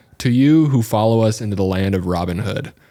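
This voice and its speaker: In a put-on character voice, a man talks at a fairly quick pace and medium pitch on a very clean recording with a silent background. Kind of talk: cinematic, dramatic announcer. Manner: theatrical, exaggerated.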